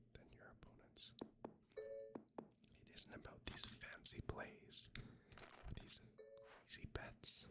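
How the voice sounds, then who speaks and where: Over background music, a man whispers in a calm tone at a very slow pace. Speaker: ASMR content creator. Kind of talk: whispered ASMR gameplay commentary. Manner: soft-spoken, whispered, calm.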